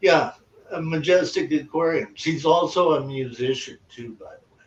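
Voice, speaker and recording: A man at a moderate pace, his pitch fairly high, with ordinary pitch variation, big swings in loudness and a plain, everyday voice. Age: 60s. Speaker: aquarium hobbyist. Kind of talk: casual chat.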